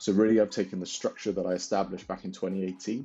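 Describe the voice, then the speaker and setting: This man's voice is very deep and low, with a dark, mellow tone. His intonation stays monotone and flat over a quiet background. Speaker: business owner vlogger. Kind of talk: casual vlog monologue. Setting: home back bedroom. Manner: halting, many fillers and repeats.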